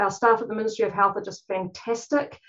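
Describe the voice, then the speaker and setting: Here a woman speaks with a New Zealand accent. Her voice is fairly high in pitch, with ordinary pitch variation. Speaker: clinician, conference panel speaker.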